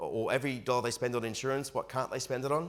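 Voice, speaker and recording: This man speaks at a very fast pace with an Australian accent. His pitch is medium and his intonation fairly even. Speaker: financial advice presenter. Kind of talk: webinar presentation.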